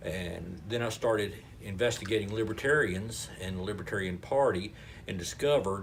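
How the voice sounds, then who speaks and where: Speaking with a North Carolina accent, a man uses a fairly low pitch and a moderate pace, somewhat breathy, amid audible room echo. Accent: Southern US (North Carolina). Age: 60s. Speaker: local party chairman, retired paramedic. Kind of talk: interview. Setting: restaurant.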